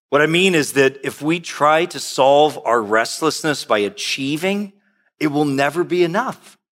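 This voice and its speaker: This is a normal speaking voice, a man's, fairly high in pitch with ordinary pitch variation. He goes at a moderate pace in a very clean recording with a silent background. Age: 50s. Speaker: pastor. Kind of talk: sermon.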